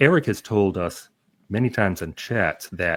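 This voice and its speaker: A man has a plain, everyday voice at a fairly low pitch with ordinary pitch variation. The recording is very clean, with a silent background. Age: 60s. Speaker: YouTuber and interviewer. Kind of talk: casual chat.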